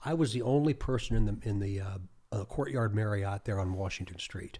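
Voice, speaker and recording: Speaking fairly quickly with an American accent, a man uses a fairly low, somewhat breathy voice with a dark, mellow tone. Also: ordinary pitch variation. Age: 60s. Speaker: state police chief. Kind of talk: podcast interview. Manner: halting, with repeated words.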